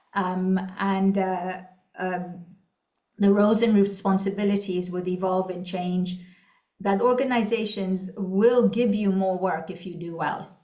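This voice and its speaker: Intonation is monotone and flat at a fairly slow pace. Room echo is audible. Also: woman, medium pitch for a woman. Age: 60s. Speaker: leadership coach, former executive. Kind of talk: panel discussion. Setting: conference forum.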